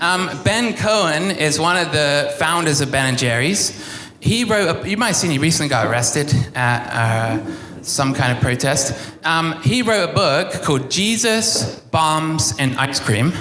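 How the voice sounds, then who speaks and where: A man at fairly high pitch with an English accent, very wide pitch swings and very even loudness, speaking at a fairly slow pace amid noticeable background noise and audible room echo. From England. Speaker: pastor. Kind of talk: sermon. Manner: halting, many fillers.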